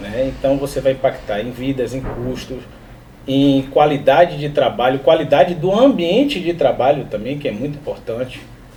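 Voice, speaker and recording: A man with a fairly high pitch speaks at a moderate pace with ordinary pitch variation. Noticeable background noise runs behind him. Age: 30s. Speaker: work safety specialist. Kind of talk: podcast interview.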